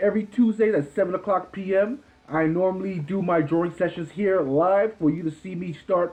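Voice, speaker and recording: A loud man with a high pitch, ordinary pitch variation and a fairly quick pace. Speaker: artist streaming a live drawing session. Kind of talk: casual live-stream talk. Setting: live stream from home. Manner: casual, rambling with many fillers.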